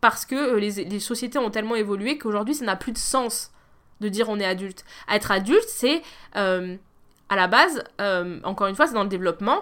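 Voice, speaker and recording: On a very clean recording with a silent background, a woman with an unremarkable speaking voice talks fairly quickly at a fairly high pitch, with ordinary pitch variation. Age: 30s. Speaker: podcast host. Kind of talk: solo monologue. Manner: casual.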